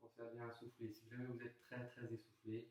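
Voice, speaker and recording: Soft-spoken, a man talks at a medium pitch and a moderate pace. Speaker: fitness coach. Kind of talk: workout instruction.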